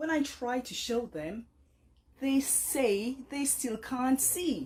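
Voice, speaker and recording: With lively intonation and vocal fry, a woman speaks at a fairly high pitch. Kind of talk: poetry reading. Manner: dynamic, compelling.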